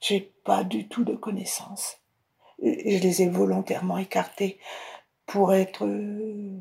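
A woman speaking very slowly, with long, frequent pauses. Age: 70s. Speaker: military wife. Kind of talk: testimony. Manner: halting.

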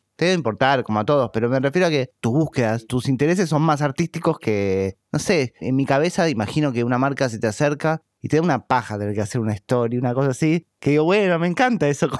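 Lively intonation carries a very fast pace. The sound is dry and close with no echo, on a very clean recording with a silent background. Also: man, fairly high pitch for a man, hardly any pauses. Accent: Rioplatense. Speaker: podcast host. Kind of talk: interview.

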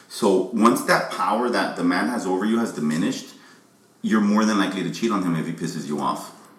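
A man with a fairly low pitch and ordinary pitch variation talks fairly quickly, with noticeable background noise around him. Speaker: rapper. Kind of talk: casual chat.

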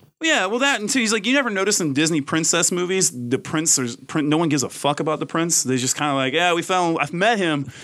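A man with a Southern US accent talks at a very fast pace with lively intonation. His high voice has a bright, sharp tone and very even loudness. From US South, Mississippi. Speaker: magazine writer. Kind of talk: casual chat.

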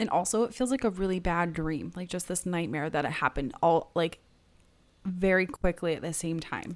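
A woman speaks at a moderate pace in a fairly low pitch with ordinary pitch variation. She has a normal speaking voice. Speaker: podcast host. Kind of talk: casual chat.

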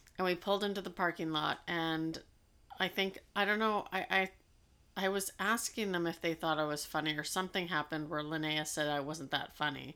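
A woman talks at a fairly quick pace, her fairly low voice bright, sharp and playful. Her intonation stays fairly even in a very clean recording with a silent background. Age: 40s. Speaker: podcast co-host and parent. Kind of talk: casual chat. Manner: laughs easily, playful.

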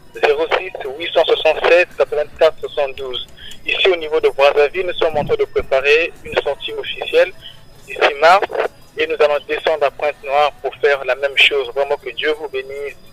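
With noticeable background noise around him, the man talks at a fairly slow pace. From Republic of the Congo. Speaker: gospel singer. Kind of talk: radio interview. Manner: halting.

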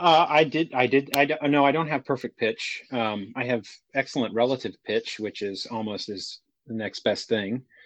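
A man with an American accent speaks at a moderate pace in a medium pitch, the sound dry and close with no echo. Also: ordinary pitch variation. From Texas, Houston. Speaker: musician and sound designer. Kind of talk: casual chat. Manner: halting, many fillers and repeats.

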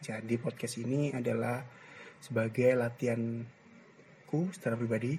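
Somewhat breathy and dark, mellow in tone, a man's medium-pitched voice moves at a fairly slow pace with fairly even intonation. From East Java, Gresik. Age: 20s. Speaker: university student, podcaster. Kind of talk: solo casual monologue. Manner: hesitant, many fillers.

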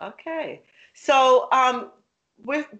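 A woman with a London accent. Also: quiet background. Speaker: podcast host. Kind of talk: casual interview.

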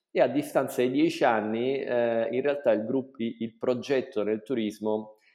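A man speaks in a normal speaking voice at a medium pitch. His pace is fairly slow and his intonation fairly even. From southern Italy, Salento (Apulia). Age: 40s. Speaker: hotel entrepreneur. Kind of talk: interview.

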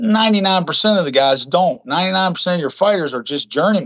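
A high-pitched man's voice with an American accent and lively intonation. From West Virginia. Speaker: filmmaker and boxing coach. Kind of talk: casual chat.

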